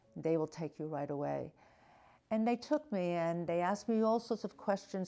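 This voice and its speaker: Here a woman speaks in an American accent with a fairly low pitch. Her tone is dark and mellow, with ordinary pitch variation. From New York City. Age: 70s. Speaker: actor, stroke survivor. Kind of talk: testimony. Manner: halting.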